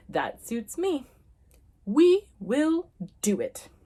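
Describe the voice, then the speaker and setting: A woman puts on a character voice with a pompous tone. Her pitch is high and swings very widely. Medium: read story. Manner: grand, pompous.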